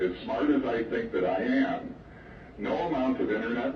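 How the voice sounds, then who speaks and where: Noticeable background noise and a hint of room echo behind a man speaking. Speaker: school principal. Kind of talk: school announcement. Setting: PA system. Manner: formal.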